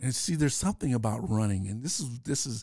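A man's dark, mellow voice at a very fast pace, on a very clean recording with a silent background and a dry, close sound with no echo. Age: 60s. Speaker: former state senator. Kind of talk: interview. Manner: halting.

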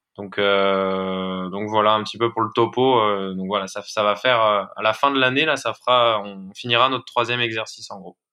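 A man talks at a moderate pace in a fairly low pitch, with fairly even intonation. He barely pauses, and his loudness swings widely. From France, Haute-Savoie. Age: 20s. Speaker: clothing brand co-founder. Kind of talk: casual interview. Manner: halting, many fillers.

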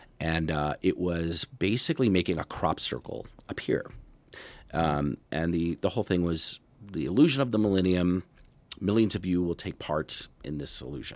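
Against a quiet background, a man with a very deep, low pitch talks at a moderate pace with lively intonation. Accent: American. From Erie, Pennsylvania. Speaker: magician. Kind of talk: interview. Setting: studio.

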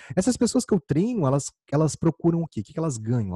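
Somewhat breathy, dark and mellow male voice, dry and close with no echo, against a quiet background. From Brazil, Campo Grande, Mato Grosso do Sul. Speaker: podcast host, communication coach. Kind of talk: solo podcast monologue. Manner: animated.

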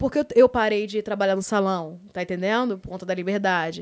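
Talking at a very fast pace, a woman uses an animated tone at a medium pitch. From Rio de Janeiro, Brazil. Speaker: adult content creator. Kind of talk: casual interview. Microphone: too far from mic at start.

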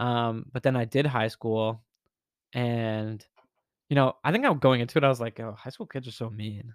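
An American-accented man with an unremarkable speaking voice and medium pitch talks at a moderate pace with fairly even intonation and big swings in loudness, the sound dry and close with no echo. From US South, Winston-Salem, North Carolina. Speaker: new teacher. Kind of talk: casual chat.

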